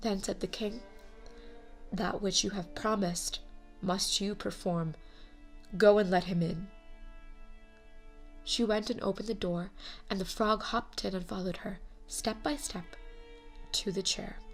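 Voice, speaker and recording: Music plays in the background as a woman speaks at a medium pitch and a moderate pace. Her pitch varies in an ordinary way, and she takes long, frequent pauses. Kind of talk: fairy tale narration.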